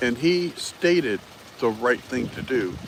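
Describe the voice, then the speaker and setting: Over noticeable background noise, a man talks at a fairly slow pace. His pitch swings very widely. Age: 60s. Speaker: political commentary livestreamer. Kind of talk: casual live stream commentary. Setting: live stream greeting chat viewers. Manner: halting, many fillers.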